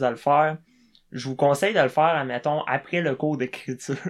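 A man with a fairly high-pitched, plain, everyday voice speaks with ordinary pitch variation. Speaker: comedian. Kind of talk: casual chat.

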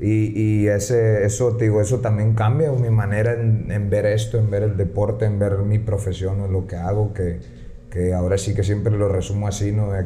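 A man's fairly low voice at a moderate pace, monotone and flat in intonation, with audible room echo and noticeable background noise. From San Luis Río Colorado, Sonora, Mexico. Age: 20s. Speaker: professional mixed martial arts fighter. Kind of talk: casual podcast interview.

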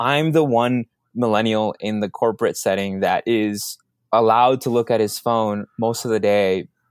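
A voice with a Spanish accent, dry and close with no echo, on a very clean recording with a silent background. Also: man. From Minneapolis, Minnesota (moved from Mexico at seven). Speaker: social media strategist. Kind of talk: interview.

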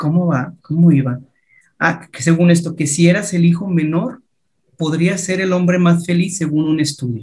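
Here a man speaks with a high pitch. He keeps a moderate pace. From Mexico. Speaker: podcast host. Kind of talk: casual interview.

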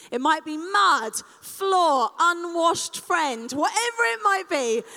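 At a fairly slow pace, a woman projects a raised, animated voice whose pitch swings very widely. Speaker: speaker leading a live audience exercise. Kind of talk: live interactive talk.

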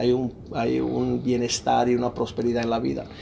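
Here a man speaks at a moderate pace with a medium pitch. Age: 50s. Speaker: pastor and author. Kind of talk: interview testimony.

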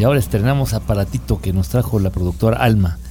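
A man's very deep, low voice with very wide pitch swings, at a fairly quick pace. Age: 50s. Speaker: travel show host. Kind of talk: casual chat.

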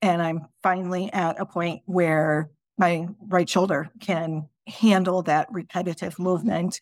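In a very clean recording with a silent background, a woman speaks in an unremarkable speaking voice. Her fairly low pitch holds fairly even intonation at a fairly slow pace. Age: 40s. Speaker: life coach and podcast host. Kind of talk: solo podcast monologue. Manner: casual, with frequent repetitions.

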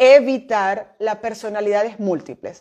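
A dark, mellow tone with ordinary pitch variation, set against a quiet background. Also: woman. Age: 40s. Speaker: business mentor and podcast host. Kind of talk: recorded online masterclass.

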